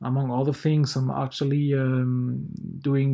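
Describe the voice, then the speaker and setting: A man with a French accent speaks at medium pitch, his tone dark and mellow and somewhat breathy. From France. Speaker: university researcher. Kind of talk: conference presentation. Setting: pre-recorded video. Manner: halting, many filler words.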